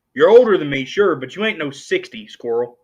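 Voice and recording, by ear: With a fairly high pitch and big pitch swings, a man talks at a fairly quick pace in a slightly mellow tone that has a slightly husky edge.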